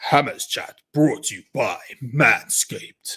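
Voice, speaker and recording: In a put-on character voice, the speaker sounds raspy and moves at a fairly slow pace. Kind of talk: announcement.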